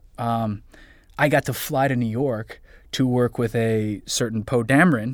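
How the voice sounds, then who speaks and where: A man speaks fairly slowly in an ordinary speaking voice with fairly even intonation. The recording is very clean, with a silent background. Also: medium pitch for a man. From US, moved around (military family). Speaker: voice actor. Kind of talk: casual interview chat.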